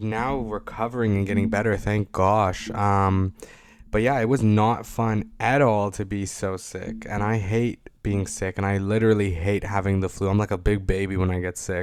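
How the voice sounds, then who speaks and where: A man with a Canadian accent speaks in a monotone, flat intonation. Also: fairly low pitch for a man, moderate pace, very clean recording, silent background. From Toronto, Canada. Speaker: podcast host. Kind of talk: casual monologue. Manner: rambling with many fillers.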